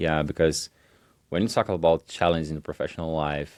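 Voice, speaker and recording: The speaker has a Portuguese accent. The sound is dry and close with no echo, on a very clean recording with a silent background. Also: man. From Brazil. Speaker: entrepreneur. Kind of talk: podcast interview. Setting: university lounge, in person. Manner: halting.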